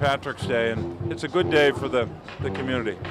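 A man's fairly quick speech, dry with no echo, over clear background music. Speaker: politician being interviewed. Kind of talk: interview answer. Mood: warm, upbeat. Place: street. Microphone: handheld.

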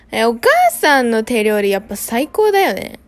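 In a Kyushu accent, a woman with a fairly high pitch speaks at a fairly slow pace while faint music plays in the background. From Kumamoto, Japan. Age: 20s. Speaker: vlogger. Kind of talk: casual vlog narration. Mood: relaxed, playful.

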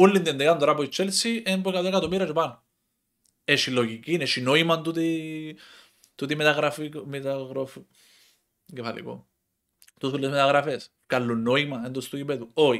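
A man with a fairly high voice speaks at a moderate pace against a quiet background. His pitch varies in an ordinary way, and he leaves long, frequent pauses. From Cyprus. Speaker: football commentator YouTuber. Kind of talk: casual monologue. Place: home room. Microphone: headset.

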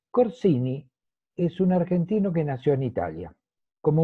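Over a quiet background, a man talks at a very slow pace. His voice is somewhat breathy. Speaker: guest. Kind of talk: conversational talk. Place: home room. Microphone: video call.

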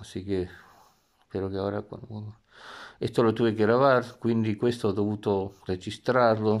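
Against a quiet background, a man with a fairly low pitch speaks at a moderate pace in a monotone, flat way, leaving long, frequent pauses. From Argentina and US. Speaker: video blogger. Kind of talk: casual vlog. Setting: in bed at home. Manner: halting. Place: home room. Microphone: phone near.

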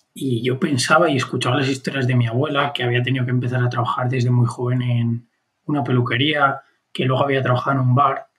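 A man's very fast speech at a medium pitch with monotone, flat intonation. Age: 20s. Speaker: podcast co-host. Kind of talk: casual conversation.

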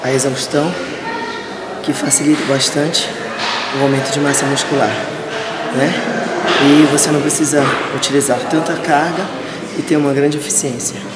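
A woman talks at a moderate pace, leaving long, frequent pauses. Loud background noise fills the recording. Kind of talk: interview answer. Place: gym.

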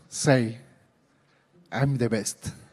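The speech is very slow in pace, with a slightly mellow tone. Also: man.

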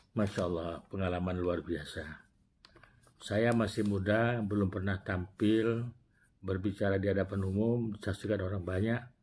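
Over light background noise, a man talks at a moderate pace with a fairly low pitch. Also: fairly even intonation. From Indonesia. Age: 60s. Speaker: retired prosecutor and former regional legislator telling life story. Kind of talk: personal storytelling vlog. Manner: halting with self-corrections. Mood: warm, reflective. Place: office. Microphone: lapel.

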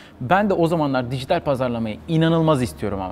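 Here a man talks at a fairly quick pace. His pitch is fairly high. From Turkey, Izmir; Turkey. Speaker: marketing manager; interview guest. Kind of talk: interview. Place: home room. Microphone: lapel.

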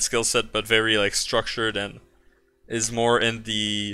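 A man's bright, sharp voice with a French accent and monotone, flat intonation. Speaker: software developer streaming live coding; software developer streamer. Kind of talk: live coding stream tutorial. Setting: live stream. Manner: casual, halting with many fillers. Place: home room.

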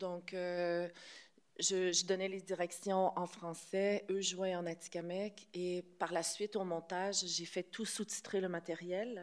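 A woman talks at a fairly slow pace. Her intonation is monotone and flat. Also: quiet background. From Quebec. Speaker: film director. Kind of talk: press conference. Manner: hesitant, many fillers. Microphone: podium.

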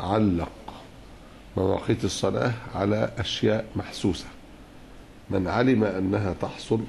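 A man speaks at a very slow pace with fairly even intonation. Light background noise sits behind him. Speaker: religious teacher. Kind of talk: lecture. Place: hall. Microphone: podium.

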